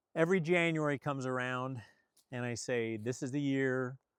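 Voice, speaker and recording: Recorded very cleanly against a silent background, a man speaks in a medium pitch with ordinary pitch variation at a moderate pace, the sound dry and close with no echo. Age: 60s. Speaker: channel host sharing personal finance story. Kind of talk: personal confessional talk to camera. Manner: candid, earnest.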